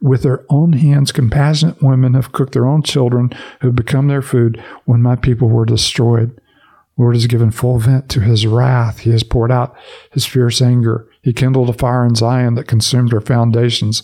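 A man speaks at medium pitch and a moderate pace, somewhat breathy, with a dark, mellow tone. His loudness stays very even and his intonation is monotone and flat. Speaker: Bible podcast host. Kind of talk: devotional commentary, with Scripture reading aloud. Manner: measured, steady audiobook-style reading; conversational, filler-heavy.

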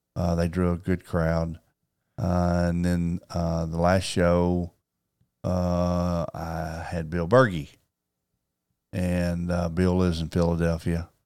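Very slow, with long, frequent pauses, the speech comes in a Southern US accent with monotone, flat intonation. The recording is very clean, with a silent background. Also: man, very deep, low pitch for a man. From Arkansas, Paragould. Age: 60s. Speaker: sports card collector and card show promoter. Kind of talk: storytelling in casual interview.

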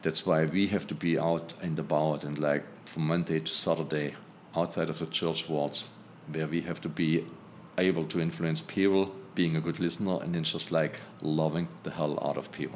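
A man's very deep, low voice with a German accent, fairly even intonation and a moderate pace. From Germany. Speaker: textile engineer and healing prayer group leader. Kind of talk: casual interview conversation.

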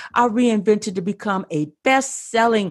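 This voice has an American accent. The pace is fairly slow. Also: woman, quiet background. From US Midwest. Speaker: podcaster and podcast coach. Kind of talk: interview.

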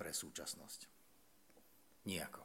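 A man at a fairly quick pace. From Slovakia. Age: 50s. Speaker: theologian. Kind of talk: lecture.

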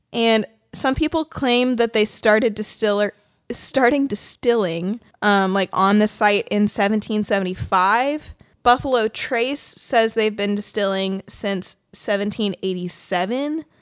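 In an unremarkable speaking voice, a woman talks fairly slowly at a fairly high pitch with ordinary pitch variation, the sound dry and close with no echo. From Kentucky, US. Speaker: podcast host. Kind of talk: casual chat, storytelling. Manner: casual, laughs often.

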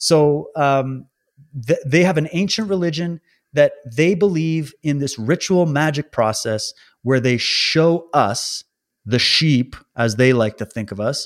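A plain, everyday voice from a man with a fairly high pitch, lively intonation and a fairly slow pace. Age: 30s. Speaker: podcast host and independent researcher. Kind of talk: casual interview chat. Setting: remote recording from home, wife present.

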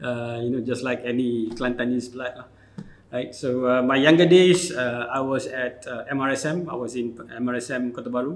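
Fairly even intonation from a man, with noticeable noise in the background. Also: medium pitch for a man, moderate pace. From Malaysia, Kelantan. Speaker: tech company founder. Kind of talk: interview.

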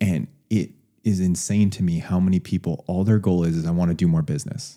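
A man's very deep, low voice, dark and mellow in tone, with ordinary pitch variation. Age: 30s. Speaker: podcast host. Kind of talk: casual interview.

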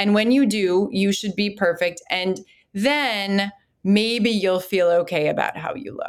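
A woman's plain, everyday voice in an American accent, medium pitch, ordinary pitch variation and fairly slow pace, on a very clean recording with a silent background. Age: 40s. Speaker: clinical psychologist. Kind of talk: interview.

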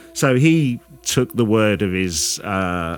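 Music plays in the background while a man speaks with ordinary pitch variation. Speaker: podcast host. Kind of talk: true-crime narration, reading out the case story. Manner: measured, storytelling.

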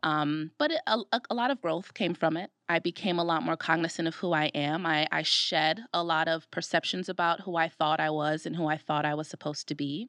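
A plain, everyday voice from a woman with an American accent, at a fairly quick pace with ordinary pitch variation, in a dry, close sound with no echo. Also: fairly low pitch for a woman, hardly any pauses. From Brooklyn, New York. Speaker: podcast co-host, diversity program manager. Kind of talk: casual chat. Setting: studio.

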